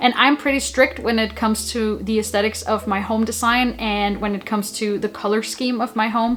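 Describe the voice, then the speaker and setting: Over noticeable background noise, a woman with a Danish accent talks at a fairly quick pace in a fairly high pitch with fairly even intonation. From Denmark. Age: 20s. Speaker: YouTuber. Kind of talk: vlog talking to camera. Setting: home, alone with camera.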